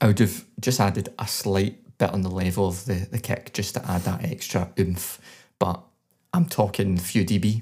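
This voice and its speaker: Speaking with a Scottish accent, a man has a fairly low pitch, a dark, mellow tone, ordinary pitch variation and a somewhat breathy sound. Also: moderate pace. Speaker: podcast co-host, songwriter. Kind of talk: music review; casual chat.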